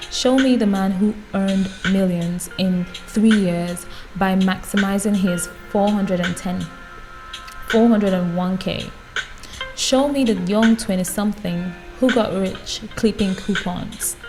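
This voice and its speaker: A woman with a medium pitch and fairly even intonation speaks at a very slow pace with long, frequent pauses while music plays in the background. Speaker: YouTuber reading books aloud. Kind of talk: non-fiction book reading.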